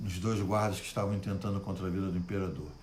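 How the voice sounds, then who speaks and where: A man is heard with audible room echo. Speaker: pastor. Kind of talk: Bible study livestream. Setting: Facebook live stream. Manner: good-humored, animated.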